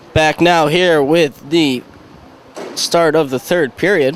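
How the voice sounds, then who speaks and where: A man's fairly high voice at a moderate pace, with fairly even intonation and noticeable background noise. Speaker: hockey play-by-play announcer. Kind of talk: live sports play-by-play commentary.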